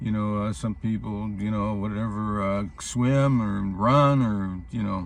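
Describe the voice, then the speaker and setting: A man speaks fairly slowly in a fairly low pitch with fairly even intonation. Audible room echo surrounds the voice. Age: 80s+. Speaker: vlogger on healthy ageing. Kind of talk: casual monologue to camera. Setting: in his vehicle. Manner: halting, many fillers.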